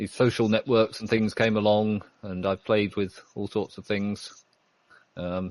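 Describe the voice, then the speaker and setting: In a British accent, a man talks at a moderate pace with a monotone, flat intonation. The sound is dry and close with no echo, over a quiet background. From Britain. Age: 50s. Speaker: IT worker, online community member. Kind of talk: interview. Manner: halting.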